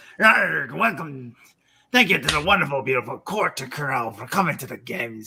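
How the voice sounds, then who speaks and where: A man puts on a raspy character voice with a fairly high pitch. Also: moderate pace. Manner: mock-announcer, playful.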